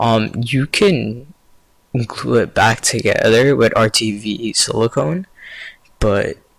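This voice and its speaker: Long, frequent pauses run through the speech. Its pace is very slow. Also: man. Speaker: tech YouTuber. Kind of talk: tutorial. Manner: slow, halting.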